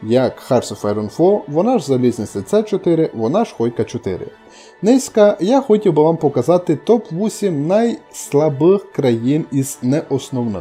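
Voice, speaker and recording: Over background music, a man with a Transcarpathian accent speaks at a fairly slow pace, his fairly high pitch making very wide swings. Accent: Transcarpathian Ukrainian dialect. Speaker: gaming video host. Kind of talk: game commentary ranking video.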